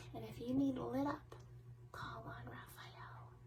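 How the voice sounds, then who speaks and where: A soft-spoken woman whispering in a soothing tone at a very slow pace, with noticeable background noise. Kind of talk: ASMR soft talk about angels. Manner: soft-spoken, soothing; whispered.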